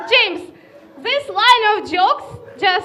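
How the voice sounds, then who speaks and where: A woman with a Russian accent speaks at a fairly slow pace in a raised, projected voice with lively intonation. Music plays in the background amid audible room echo. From northern Russia. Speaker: comedian. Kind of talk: stand-up.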